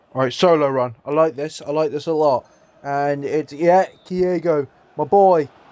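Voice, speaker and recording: A man's dark, mellow tone at a fairly high pitch, with an English accent. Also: moderate pace. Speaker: gaming YouTuber. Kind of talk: gameplay commentary. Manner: animated; stuttering.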